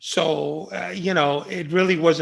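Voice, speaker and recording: Against a quiet background, a man talks at a moderate pace with a fairly high pitch. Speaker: former undercover FBI agent. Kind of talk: interview conversation. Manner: animated.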